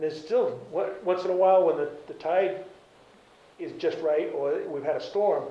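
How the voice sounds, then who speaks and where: A man with an Eastern New England accent speaks at a moderate pace, his loudness swinging widely. Noticeable background noise and audible room echo are present. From Cape Cod, Massachusetts. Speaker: retired garage and oil business owner. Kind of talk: oral history interview. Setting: library. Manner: halting.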